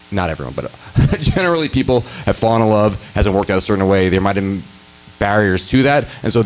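Speaking very fast but with long, frequent pauses, a man with a fairly low voice and an American accent is heard over noticeable background noise. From New York City, the Bronx. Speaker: filmmaker. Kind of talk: panel discussion. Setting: stage with audience. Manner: talkative.

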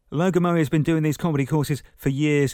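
A man with a southern English accent speaks in a dark, mellow tone with fairly even intonation. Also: very clean recording, silent background. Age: 30s. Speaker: radio presenter and amateur comedian. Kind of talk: podcast narration.

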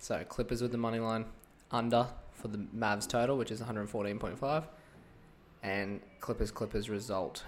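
This man's voice sits at a medium pitch, with fairly even intonation. He keeps a moderate pace but leaves long, frequent pauses. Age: young. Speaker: sports betting podcaster. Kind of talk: casual solo podcast on sports tips. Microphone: mic sensitivity turned right down, mouth very close.

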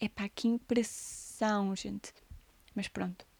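A woman speaks with a European Portuguese accent on a very clean recording with a silent background. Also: dry, close sound with no echo. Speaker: podcaster and musician. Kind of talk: casual monologue.

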